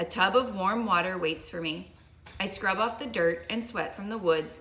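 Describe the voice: Someone reads plainly aloud, the pitch varying in an ordinary way.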